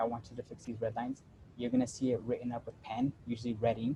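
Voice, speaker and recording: Somewhat breathy, a man speaks at a very fast pace in a medium pitch with a dark, mellow tone. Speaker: workshop presenter teaching AutoCAD. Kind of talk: tutorial. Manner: casual, with many fillers.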